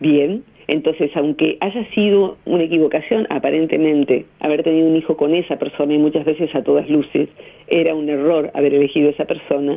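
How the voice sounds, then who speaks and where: A woman's very deep, low voice at a fairly quick pace, with fairly even intonation over a quiet background. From Argentina. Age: 50s. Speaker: psychologist; radio guest. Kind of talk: radio interview. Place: studio.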